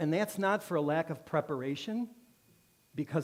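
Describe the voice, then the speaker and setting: A man with a fairly high voice speaks at a fairly quick clip, his intonation lively and his tone animated. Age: 60s. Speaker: guest speaker at a church. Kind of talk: sermon. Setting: church with congregation.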